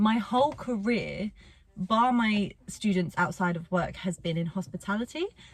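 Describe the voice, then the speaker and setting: At a moderate pace, a woman speaks in a somewhat breathy, medium-pitched voice with lively intonation. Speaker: vlogger and music teacher. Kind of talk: casual vlog monologue. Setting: in a car.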